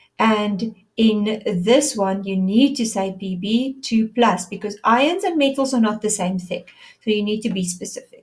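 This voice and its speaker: A woman speaks at a fairly slow pace with a fairly high pitch. Her voice is somewhat breathy, with ordinary pitch variation. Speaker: science teacher. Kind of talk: lecture.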